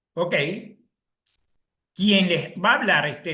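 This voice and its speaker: With audible room echo, a man speaks at a high pitch in a bright, sharp tone. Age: 70s. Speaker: chemical engineer giving an agricultural webinar. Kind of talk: lecture. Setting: live online session.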